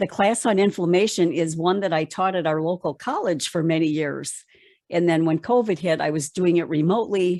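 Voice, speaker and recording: This is a normal speaking voice at a moderate pace. Its loudness is very even and its pitch varies an ordinary amount. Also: woman. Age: 60s. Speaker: plant-based diet educator. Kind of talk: interview.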